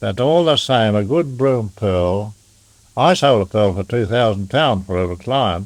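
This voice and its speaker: In a very clean recording with a silent background, a man talks at a fairly slow pace, his fairly low pitch carried by lively intonation. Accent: Australian. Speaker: pearling master and storekeeper. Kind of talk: oral history interview answer. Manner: sober yet humorous.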